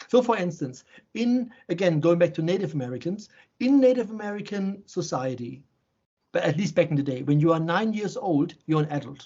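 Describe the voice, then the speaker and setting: A man speaks in a German accent at a fairly quick pace. His pitch is high. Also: lively intonation. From Germany, Offenbach near Frankfurt. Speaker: shaman and healer. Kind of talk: interview conversation. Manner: halting, repetitive starts.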